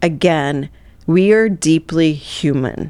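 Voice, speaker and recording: A woman speaks with an American accent at a very deep, low pitch. Her pitch varies in an ordinary way. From US Midwest (Southeast Missouri). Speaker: neuroperformance coach and keynote speaker. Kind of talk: interview conversation.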